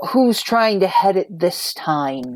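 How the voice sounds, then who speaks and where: The speaker uses a gruff, put-on character voice. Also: woman, medium pitch for a woman. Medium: actual play. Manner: gruff, blunt.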